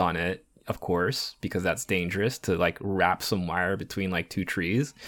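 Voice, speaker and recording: In a very clean recording with a silent background, a man talks at a moderate pace with a very deep, low pitch. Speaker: podcast host. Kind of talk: casual chat.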